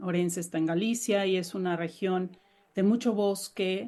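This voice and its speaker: Medium-pitched woman's voice in a Mexican accent, dark and mellow in tone, with ordinary pitch variation. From Mexico. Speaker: novelist. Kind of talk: interview.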